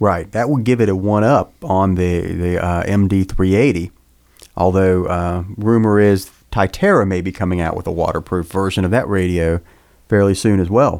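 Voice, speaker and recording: The man's pitch is very deep and low. He talks at a moderate pace. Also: fairly even intonation. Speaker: podcast co-host. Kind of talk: casual panel discussion about radio gear.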